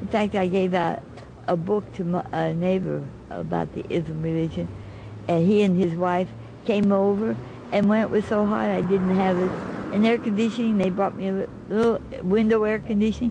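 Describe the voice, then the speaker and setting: A woman with an American accent talks at a moderate pace and medium pitch, keeping her intonation fairly even. She leaves long, frequent pauses, and there is noticeable background noise. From United States. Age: 70s. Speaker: interviewee. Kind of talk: TV interview. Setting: TV studio. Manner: halting.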